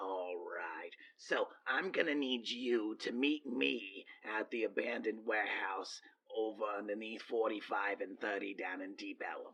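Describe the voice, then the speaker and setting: Putting on a character voice, a man speaks at a moderate pace. His voice is raspy. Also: medium pitch for a man. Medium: actual play. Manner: polite, businesslike.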